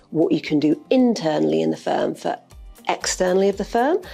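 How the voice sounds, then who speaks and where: A woman speaks with a Yorkshire accent. Music plays in the background. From Yorkshire, northern England. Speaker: law firm partner. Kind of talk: interview. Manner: informal; direct.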